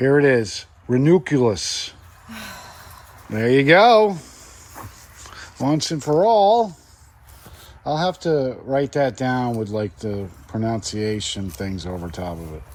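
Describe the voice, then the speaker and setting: A man with a medium-pitched voice speaks at a very slow pace, his pitch swinging very widely and his loudness rising and falling a lot, with long, frequent pauses over noticeable background noise. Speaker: gardening channel co-host. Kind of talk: casual banter with spouse. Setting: greenhouse.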